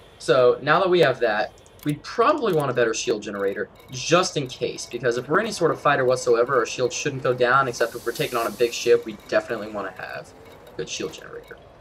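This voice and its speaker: A man at a very fast pace, medium in pitch with ordinary pitch variation and big swings in loudness, against noticeable background noise. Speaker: gaming youtuber. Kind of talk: tutorial. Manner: casual, with fillers.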